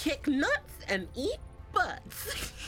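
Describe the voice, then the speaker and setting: Over clear background noise, a woman uses a put-on character voice at an extremely high pitch. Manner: playful, exaggerated.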